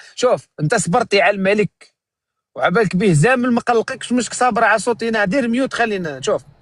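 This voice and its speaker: A man with a high pitch talks at a moderate pace, with ordinary pitch variation. The sound is dry and close with no echo, and his loudness is very even. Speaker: live streamer. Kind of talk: live stream commentary.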